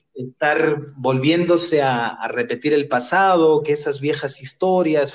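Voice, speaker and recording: A man with a plain, everyday voice speaks at a fairly high pitch, with a fairly slow pace and fairly even intonation. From Spain. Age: 30s. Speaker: human rights lawyer. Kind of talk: interview.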